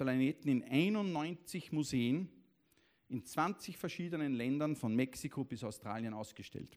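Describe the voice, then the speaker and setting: A man with a plain, everyday voice talks at a fairly slow pace, his pitch fairly high and his intonation lively. The recording is very clean, with a silent background. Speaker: event moderator. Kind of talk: formal introduction; public stage conversation. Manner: formal.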